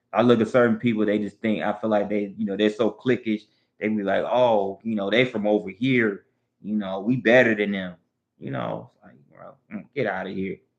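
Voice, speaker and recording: The speaker has a Southern US accent. Their loudness swings widely. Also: man, fairly low pitch for a man, moderate pace. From US South. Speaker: live streamer. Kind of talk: casual chat. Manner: halting, repetitive.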